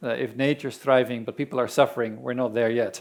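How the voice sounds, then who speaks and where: The speaker has a Dutch accent and a monotone, flat intonation. The recording is very clean, with a silent background. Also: man. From Netherlands. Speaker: land restoration organization representative. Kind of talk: conference presentation.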